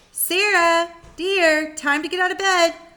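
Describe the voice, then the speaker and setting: Over music in the background, a woman uses a squeaky put-on character voice at a fairly slow pace. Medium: read story. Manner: warm, reassuring.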